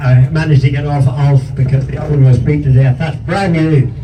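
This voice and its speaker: In a Northern Irish accent, a man speaks in a fairly high voice, with audible room echo and noticeable background noise. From Northern Ireland. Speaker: motorcycle museum host. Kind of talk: casual chat.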